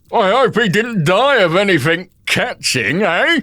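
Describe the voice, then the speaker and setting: A man's put-on character voice, high in pitch, raised and projected, with very wide pitch swings at a fairly slow pace. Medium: read story. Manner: haggling, wheedling.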